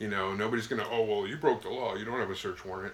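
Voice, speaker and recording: Very fast, lively intonation from a man, with noticeable background noise. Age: 50s. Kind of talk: casual chat.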